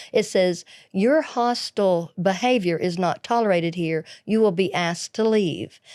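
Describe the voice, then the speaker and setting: A woman with an Alabama accent talks at a moderate pace in a medium pitch with ordinary pitch variation, on a very clean recording with a silent background. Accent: Southern US (Alabama). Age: 60s. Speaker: podcast co-host, pharmacist. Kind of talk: casual chat.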